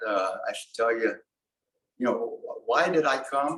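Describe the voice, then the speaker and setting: A man's voice with a fairly high pitch. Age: 90s. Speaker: retirement community resident. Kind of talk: testimony. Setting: networking breakfast with audience. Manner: halting, many false starts.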